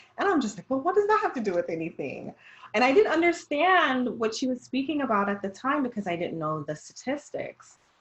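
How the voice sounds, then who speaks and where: Over noticeable background noise, a woman with a slight Jamaican accent speaks at a fairly quick pace in a high voice with very wide pitch swings. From Jamaica, raised Jamaican household in US. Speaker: dietitian. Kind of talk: casual discussion.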